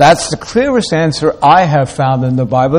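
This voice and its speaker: A man swings his pitch very widely at a moderate pace while noticeable background noise continues. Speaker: preacher. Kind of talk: sermon.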